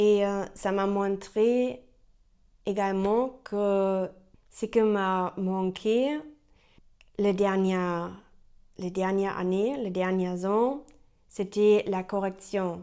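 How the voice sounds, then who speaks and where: A woman with a German accent speaks at a very slow pace with long, frequent pauses, using a medium pitch, fairly even intonation and a dark, mellow tone. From Germany. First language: German (speaking French). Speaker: French learner vlogger. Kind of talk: unscripted vlog monologue. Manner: halting, many hesitations.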